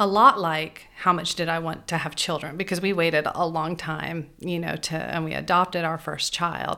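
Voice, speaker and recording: The voice is bright and sharp in tone, with vocal fry. It moves at a moderate pace with hardly any pauses. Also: woman, fairly low pitch for a woman. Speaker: boutique owner and charity fundraiser. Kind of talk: interview.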